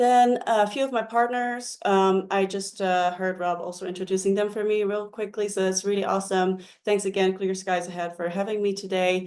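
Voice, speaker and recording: With a Dutch accent, a woman talks at a moderate pace and medium pitch, her intonation fairly even and hardly any pauses in her speech. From Netherlands. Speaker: mental health counselor. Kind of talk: webinar presentation. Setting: online webinar.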